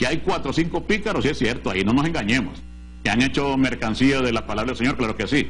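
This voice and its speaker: Over audible room echo, a man speaks with lively intonation at a fairly quick pace. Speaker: pastor and Bible TV show host. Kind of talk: TV Bible teaching program. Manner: emphatic, forceful preaching.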